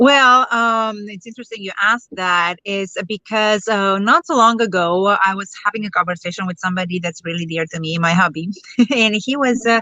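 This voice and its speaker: A woman with a Romanian accent speaks at a moderate pace in a medium pitch, her loudness swinging widely and her pitch varying in an ordinary way. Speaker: network marketer. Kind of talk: interview.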